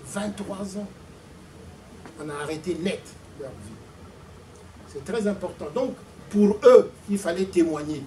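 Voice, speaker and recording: Over noticeable background noise, a man with a high pitch speaks at a very slow pace with long, frequent pauses, ordinary pitch variation and big swings in loudness. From Congo-Brazzaville. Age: 60s. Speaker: author and former activist. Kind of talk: testimony.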